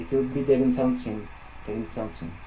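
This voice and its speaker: Noticeable background noise and audible room echo surround the recording. A man speaks with a French accent. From France. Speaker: metal musician. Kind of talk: interview. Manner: halting, many fillers.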